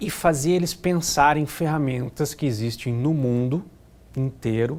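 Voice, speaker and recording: This man speaks with a slight Curitiba accent and ordinary pitch variation. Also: fairly high pitch for a man, fairly slow pace. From Curitiba, southern Brazil. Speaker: risk management consultant. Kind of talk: interview.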